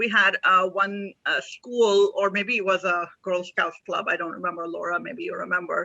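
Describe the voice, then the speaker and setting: A woman speaks with a Pakistani accent at a moderate pace. She hardly pauses at all. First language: Urdu. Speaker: author. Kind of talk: casual chat.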